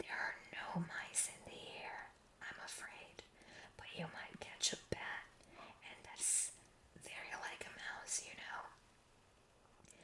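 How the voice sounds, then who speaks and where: A woman's whisper at a very slow pace over noticeable background noise. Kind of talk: bedtime story reading. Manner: whispered; slow, soft-spoken.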